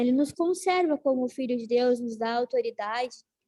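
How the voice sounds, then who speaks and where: A dark, mellow tone comes through dry and close with no echo, at a moderate pace and with ordinary pitch variation. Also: woman. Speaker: Bible class teacher. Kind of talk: class teaching. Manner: animated.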